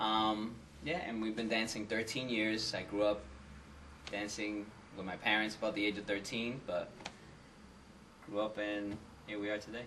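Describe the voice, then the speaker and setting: A man with an American accent speaks at a moderate pace in a fairly low pitch with fairly even intonation. Long, frequent pauses break up his speech, and audible room echo surrounds it. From Massachusetts (Lawrence, near Boston). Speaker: salsa dancer. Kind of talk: interview.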